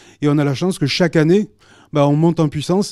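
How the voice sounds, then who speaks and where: In a southern French accent, a man with a fairly high pitch and a dark, mellow tone speaks at a very fast pace with fairly even intonation on a very clean recording with a silent background. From southern France, Carcassonne. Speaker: wrestling association manager. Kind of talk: TV interview.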